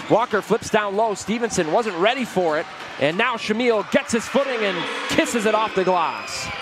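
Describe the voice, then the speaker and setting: Noticeable background noise surrounds a man's high-pitched voice. His loudness stays very even, with ordinary pitch variation. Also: moderate pace. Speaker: basketball play-by-play commentator. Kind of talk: live sports commentary. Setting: live game broadcast. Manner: excitable, rising on big dunks and buckets.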